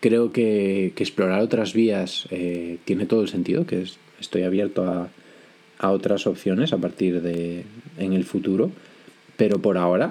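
Very deep and low in pitch, a man speaks fairly slowly in a dark, mellow tone with fairly even intonation. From Spain, Galicia (Vigo). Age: 20s. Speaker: podcast host. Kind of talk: solo podcast monologue. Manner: frequent hesitations and repetitions.

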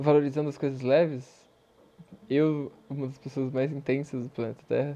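Monotone, flat intonation at a moderate pace, with a dark, mellow tone. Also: man, fairly high pitch for a man. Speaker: podcast host. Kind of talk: personal monologue.

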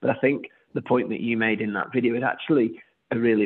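At a very fast pace, a man of medium pitch speaks in a monotone, flat intonation. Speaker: podcast co-host. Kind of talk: casual interview conversation. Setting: video recording.

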